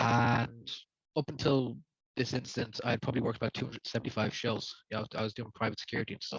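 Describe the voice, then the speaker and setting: This man talks at a very fast pace in a medium pitch, somewhat breathy and monotone with flat intonation, in a dry, close sound with no echo. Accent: Dublin. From Ireland, Dublin. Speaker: rapper. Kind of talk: testimony.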